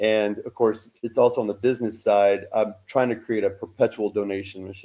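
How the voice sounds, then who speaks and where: A man speaks at a moderate pace with hardly any pauses, his fairly low, dark and mellow voice flat and monotone while its loudness swings widely. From Kentucky. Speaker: film director and writer. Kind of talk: casual chat.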